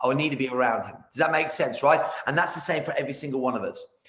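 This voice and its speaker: Amid noticeable background noise and audible room echo, a man talks very fast in an energetic tone at a fairly high pitch. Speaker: martial arts business coach. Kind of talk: casual interview. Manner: loud, energetic.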